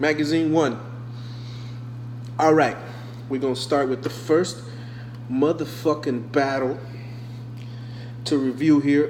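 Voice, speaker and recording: A man speaks fairly slowly at a fairly high pitch, with long, frequent pauses. Noticeable background noise and audible room echo surround him. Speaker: online rap battle league host reviewing entries. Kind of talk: casual commentary review.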